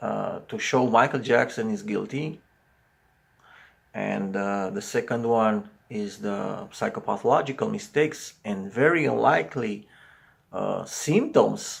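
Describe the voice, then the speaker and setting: A man with a Romanian accent speaks at a very slow pace. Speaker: psychology commentator. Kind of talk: video commentary monologue. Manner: halting, many fillers.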